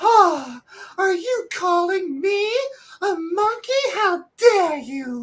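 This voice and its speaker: A put-on character voice in a Southern US accent, extremely high-pitched and very slow. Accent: Southern belle. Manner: outraged.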